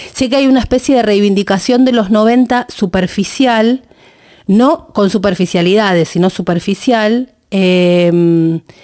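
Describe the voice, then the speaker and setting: A woman's fairly high-pitched voice carries a dark, mellow tone. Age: 50s. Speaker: political podcast host and interviewer. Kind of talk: interview. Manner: halting, repeats words.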